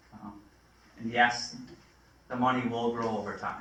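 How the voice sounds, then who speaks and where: There is an audible echo from the room. Background noise is noticeable too. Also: man. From Vermont, Rutland. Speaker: financial advisor. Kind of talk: presentation to town board. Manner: hesitant, many fillers.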